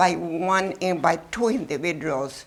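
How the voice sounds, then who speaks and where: Using vocal fry, a woman speaks at a medium pitch with ordinary pitch variation. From Mexico. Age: 80s+. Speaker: former wartime riveter. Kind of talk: talk and Q&A with students. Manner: lively.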